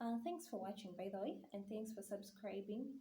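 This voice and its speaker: A woman speaks with a Ugandan accent. Her tone is dark and mellow, and somewhat breathy. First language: Luganda. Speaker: YouTuber on mental health. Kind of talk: vlog talk to camera.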